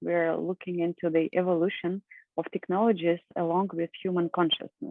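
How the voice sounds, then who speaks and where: In a Russian accent, a woman talks at a fairly quick pace, her pitch fairly low and her intonation fairly even. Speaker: professor and environmental scientist. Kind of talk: conference presentation.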